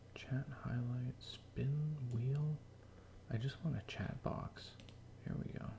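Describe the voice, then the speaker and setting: Someone whispers at a very slow pace with long, frequent pauses, over noticeable background noise. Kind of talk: casual chat. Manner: quiet, whispering.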